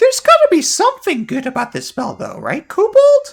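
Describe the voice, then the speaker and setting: An extremely high, squeaky put-on character voice with very wide pitch swings at a fairly quick pace. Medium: solo performance. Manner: reactive, exclamatory.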